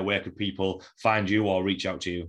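A man speaks very fast in a Yorkshire accent, his pitch fairly low. His intonation stays fairly even against a quiet background. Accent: broad Yorkshire. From Yorkshire, England. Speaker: podcast host and strength coach. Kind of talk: casual interview chat.

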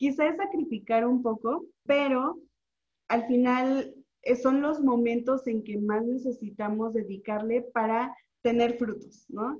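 Here a woman speaks at a very slow pace. Her voice is high, with ordinary pitch variation. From Mexico, Oaxaca. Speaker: nutritionist and social media content creator. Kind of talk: casual interview.

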